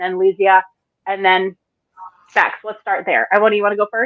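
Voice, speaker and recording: Speaking at a fairly quick pace, a woman with an American accent uses an ordinary speaking voice at medium pitch. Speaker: panel moderator. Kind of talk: panel discussion.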